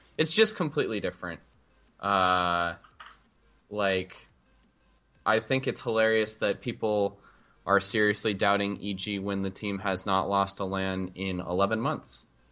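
A man with a fairly low voice talks at a fairly slow pace with fairly even intonation and long, frequent pauses. Music plays in the background. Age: 20s. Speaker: esports team manager. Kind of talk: casual chat.

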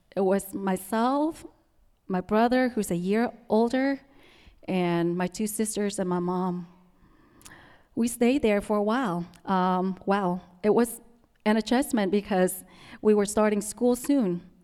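Speaking in a Vietnamese accent, a woman with a medium pitch and a dark, mellow tone moves at a fairly slow pace with ordinary pitch variation and long, frequent pauses. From Vietnam, Central Highlands. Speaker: immigrant storyteller, restaurant owner. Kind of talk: personal storytelling talk. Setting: stage with audience. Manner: halting, many fillers.

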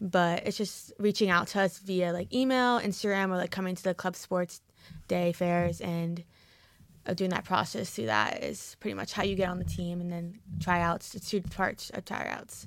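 Someone with an American accent speaks at a moderate pace with ordinary pitch variation, in a very clean recording with a silent background. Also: woman, fairly low pitch for a woman. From New Jersey. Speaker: college lacrosse player and club vice president. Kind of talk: casual chat.

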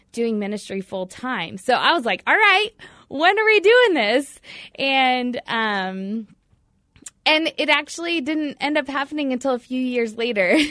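A bright, sharp tone in an American accent, with lively intonation and a fairly slow pace. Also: woman. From US Midwest (Batesville, Indiana). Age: 30s. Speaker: youth ministry worker. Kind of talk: radio interview. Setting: studio.

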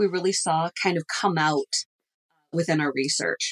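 A woman with an unremarkable speaking voice talks at a moderate pace and fairly low pitch, her intonation fairly even, in a dry, close sound with no echo. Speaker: business professor. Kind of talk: casual interview.

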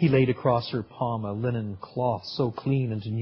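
With fairly even intonation, the text is read aloud in a natural voice.

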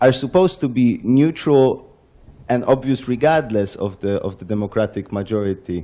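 A man's medium-pitched voice with lively intonation and a dark, mellow tone. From Poland. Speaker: audience member. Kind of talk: audience question.

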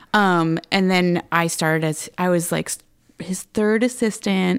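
In a normal speaking voice, a woman talks at a fairly low pitch with fairly even intonation. The recording is very clean, with a silent background. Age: 30s. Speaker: photographer. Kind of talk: interview.

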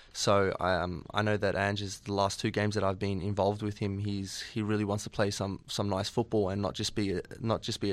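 With an Australian accent, a man talks fairly quickly at a fairly low pitch in a monotone, flat intonation, hardly pausing at all. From Australia, Sydney. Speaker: professional footballer. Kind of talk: radio interview.

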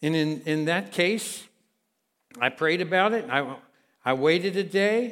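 In a very clean recording with a silent background, the speaker uses an American accent, a moderate pace and ordinary pitch variation. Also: man. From Kentucky. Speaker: guest pastor. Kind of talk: sermon. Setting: church with congregation.

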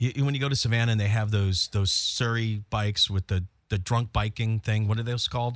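In a plain, everyday voice, the speaker moves at a fairly quick pace with very even loudness and fairly even intonation, the sound dry and close with no echo. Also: man, medium pitch for a man. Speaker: radio host. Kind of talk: casual banter on a morning radio show. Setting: studio.

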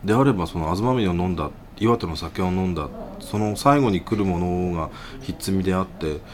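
Over noticeable background noise, a man speaks at a moderate pace in a very deep, low pitch with ordinary pitch variation. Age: middle-aged. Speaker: podcast host. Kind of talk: casual chat.

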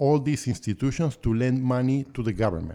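This man speaks with an Argentine accent and a dark, mellow tone. His medium pitch shows ordinary variation. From Argentina (Buenos Aires). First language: Spanish. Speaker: real estate investor. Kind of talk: interview conversation.

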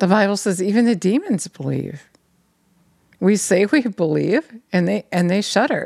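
With vocal fry and lively intonation, a woman at a medium pitch talks at a fairly slow pace, leaving long, frequent pauses. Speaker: preacher. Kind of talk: sermon, preacher in full flow, urgent exhortation ending in prayer. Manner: fervent, insistent, pressing repeated phrases like a hammering appeal.

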